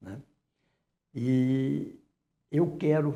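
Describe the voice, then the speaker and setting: A man's voice, somewhat breathy, carries a dark, mellow tone. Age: 80s+. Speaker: museum director. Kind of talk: TV interview.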